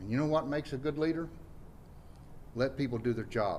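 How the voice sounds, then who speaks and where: His voice rests at a medium pitch. A man talks with ordinary pitch variation. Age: 60s. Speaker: mayoral candidate. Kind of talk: campaign speech.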